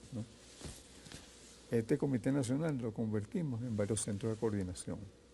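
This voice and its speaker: The voice is somewhat breathy, with a dark, mellow tone, a moderate pace and ordinary pitch variation. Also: man, medium pitch for a man. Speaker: veteran leftist politician. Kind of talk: interview.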